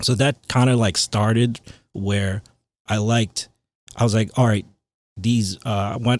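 A man with a Long Island accent, fairly low pitch, ordinary pitch variation and moderate pace, in a very clean recording with a silent background. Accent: New York (Long Island) American. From Long Island, New York. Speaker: DJ and remix producer. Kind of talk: casual chat.

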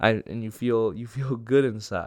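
Recorded very cleanly against a silent background, a man with an American accent speaks at medium pitch and a moderate pace. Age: 20s. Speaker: comedian. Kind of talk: solo comedic monologue. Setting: solo recording on camera. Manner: rambling, laughs often; mumbling, hard to understand.

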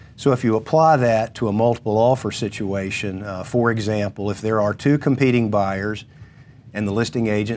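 This man has an ordinary speaking voice, fairly low in pitch, with fairly even intonation and a moderate pace. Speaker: attorney. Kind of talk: informational talk on legal topic.

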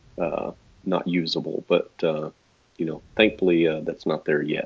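Moderate pace in a Texas accent. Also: man. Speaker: portrait photographer. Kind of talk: casual interview chat.

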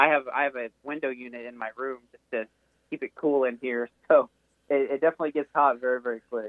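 A man with an unremarkable speaking voice talks at a fairly quick pace and medium pitch. His intonation stays fairly even, while his loudness swings widely. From Texas. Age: young. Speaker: esports sim racer. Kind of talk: casual interview.

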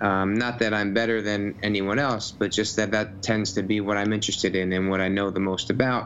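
A man with a fairly low voice and an American accent talks in a monotone, flat intonation with hardly any pauses. His loudness stays very even, and noticeable background noise can be heard. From New Jersey. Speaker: physical therapist. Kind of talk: casual chat. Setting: video call. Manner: halting, many fillers and repeated words.

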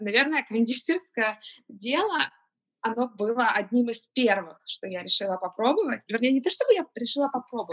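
Lively intonation colors a woman's fairly high-pitched voice, an ordinary speaking voice. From Ukraine, Kyiv. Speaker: pastry chef and business owner. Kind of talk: interview.

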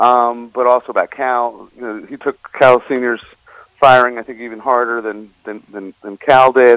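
Here a man speaks at a medium pitch and a moderate pace, with an unremarkable speaking voice. The sound is dry and close, without echo. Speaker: author. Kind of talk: interview.

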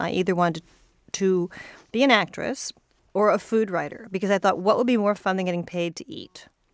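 On a very clean recording with a silent background, a woman with an American accent speaks in an unremarkable speaking voice at a medium pitch and moderate pace. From California. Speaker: podcast co-host, TV writer. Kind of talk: casual chat. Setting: studio.

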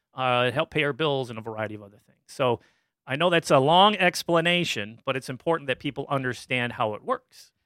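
Bright and sharp in tone, a man with a Midwestern American accent speaks with lively intonation. The recording is very clean, with a silent background and a dry, close sound with no echo. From Michigan, US Midwest. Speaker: community media director. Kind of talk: interview.

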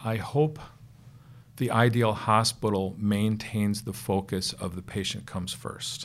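A man with a fairly low pitch, a fairly slow pace and fairly even intonation. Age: 50s. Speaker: physician, pediatric intensivist and anesthesiologist. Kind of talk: interview. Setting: studio. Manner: hesitant, many fillers.

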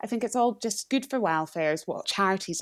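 A woman's pitch varies in a typical way in a very clean recording with a silent background. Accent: Scottish. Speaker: news writer. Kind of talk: casual news discussion.

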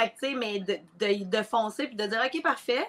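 Her voice is a woman's, fairly high in pitch with a bright, sharp tone. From Quebec, Mauricie. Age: 30s. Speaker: entrepreneur and coach. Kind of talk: casual interview. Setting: live recording.

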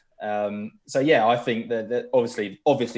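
Over a quiet background, a man with a British accent speaks at a fairly slow pace with ordinary pitch variation. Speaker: football journalist. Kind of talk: casual chat.

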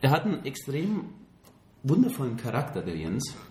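With a slight Bavarian accent, a man speaks at a medium pitch in a dark, mellow tone with vocal fry and very wide pitch swings, and the room echo is audible. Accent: faint Bavarian, barely noticeable. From Bavaria, Germany. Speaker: podcast co-host. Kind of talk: casual chat. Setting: studio, hosts face each other.

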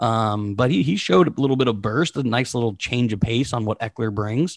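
In a dry, close recording with no echo and a silent background, very clean, a man uses a plain, everyday voice at medium pitch with ordinary pitch variation. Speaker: sports podcast co-host. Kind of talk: casual sports talk show.

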